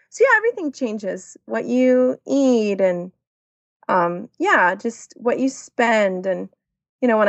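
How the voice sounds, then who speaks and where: Her voice is an unremarkable speaking voice at medium pitch, with lively intonation and a moderate pace. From Texas, Dallas and New Braunfels. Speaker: expat mother. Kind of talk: casual interview.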